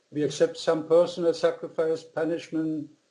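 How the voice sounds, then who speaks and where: This man speaks with a German accent in a dark, mellow tone. His intonation is monotone and flat at a moderate pace. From Germany (born in Austria). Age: 60s. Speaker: author. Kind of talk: interview. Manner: halting.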